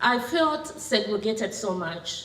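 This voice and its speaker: A woman's fairly high voice with audible room echo and noticeable background noise. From Kenya. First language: Kenyan local language. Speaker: women's rights advocate. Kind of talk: public talk. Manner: halting.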